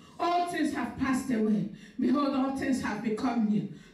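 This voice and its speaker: Audible room echo surrounds a woman speaking with lively intonation. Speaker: pastor. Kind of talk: sermon and fervent prayer. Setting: live stream church service. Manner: fervent, forceful, declaring prayer with rising intensity. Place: church.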